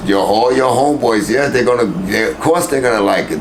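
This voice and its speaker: Background noise is noticeable, and the room gives off an audible echo. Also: man. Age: old. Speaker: rapper. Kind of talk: interview. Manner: mumbling; animated.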